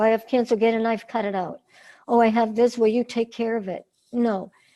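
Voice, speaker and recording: Her voice sits fairly high in pitch, yet the woman's tone is dark and mellow. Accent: American. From northern Massachusetts. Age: 60s. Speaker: singer and cancer survivor. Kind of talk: interview.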